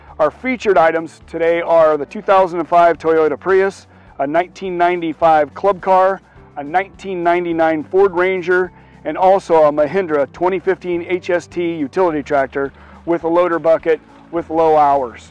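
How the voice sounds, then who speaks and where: A man speaks at a moderate pace in a high voice with fairly even intonation. The sound is dry with no echo, with faint music in the background. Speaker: auctioneer. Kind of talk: auction announcement to camera. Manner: casual, hesitant. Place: garden. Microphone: lapel.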